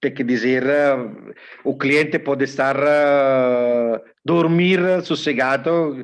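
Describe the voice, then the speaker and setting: A man with a non-native accent and a fairly high pitch, very slow and fairly even in intonation, against a quiet background. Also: very even loudness. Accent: foreign accent in Portuguese. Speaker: technical expert from electrical connector company. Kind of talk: webinar panel talk. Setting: online webinar. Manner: hesitant, with filler sounds.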